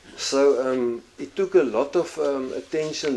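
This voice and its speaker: A man's voice with noticeable background noise. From South Africa, Kalahari. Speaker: pastor. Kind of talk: testimony. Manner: halting.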